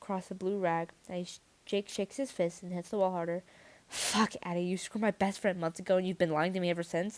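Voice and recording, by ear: Text read aloud in a natural voice, with fairly even intonation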